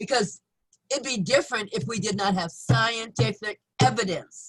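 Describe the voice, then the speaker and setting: Animated tone and very wide pitch swings from a woman at medium pitch, with vocal fry and a moderate pace. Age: 70s. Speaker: life coach. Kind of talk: interview.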